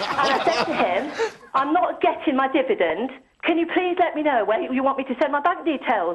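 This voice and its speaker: A high-pitched woman's voice with very wide pitch swings and very even loudness over noticeable background noise. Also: moderate pace. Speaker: caller. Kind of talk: phone-in call. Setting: phone call. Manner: articulate, eloquent.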